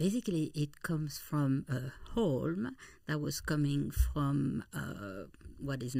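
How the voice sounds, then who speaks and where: A woman with a French accent speaks in a very deep, low pitch and a dark, mellow tone. The recording is very clean, with a silent background. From eastern France, near Swiss border. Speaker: travel company founder. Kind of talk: interview.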